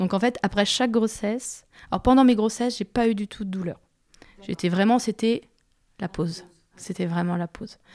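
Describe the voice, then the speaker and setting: Here a woman talks at a moderate pace and a medium pitch, with ordinary pitch variation. Her pauses are long and frequent, and the sound is dry and close with no echo. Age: 30s. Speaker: patient sharing her experience with endometriosis. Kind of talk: testimony. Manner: hesitant, many filler sounds.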